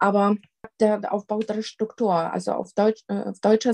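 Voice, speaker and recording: Fairly slow speech from a woman with a Polish accent, a dark, mellow tone and fairly high pitch, in a dry, close sound with no echo. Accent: Polish, still noticeable. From Poland. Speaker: crime prevention coordinator. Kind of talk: interview. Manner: hesitant with many fillers.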